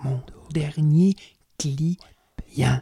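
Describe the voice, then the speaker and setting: The voice has an intense, dramatic tone. It comes in a Quebec accent. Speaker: storyteller. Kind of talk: storytelling performance. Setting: stage with audience, in dim light. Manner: dark, intense, dramatic, with a slow deliberate pace and repeated phrases; colloquial Quebec French, conversational and raw, like a street-wise narrator.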